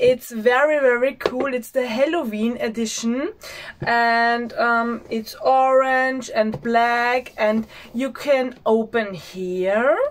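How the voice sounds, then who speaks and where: A woman speaks in an Austrian accent at a high pitch with ordinary pitch variation. Her pace is very slow, and background noise is noticeable. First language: German. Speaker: beauty vlogger. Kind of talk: product unboxing. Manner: halting, many filler sounds; enthusiastic.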